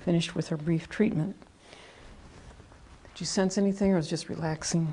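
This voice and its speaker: Calm and somewhat breathy, a woman speaks fairly quickly in a dark, mellow tone at a fairly low pitch, keeping her intonation fairly even. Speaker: energy healing practitioner. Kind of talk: guided healing treatment instruction. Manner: calm, soft-spoken, explanatory.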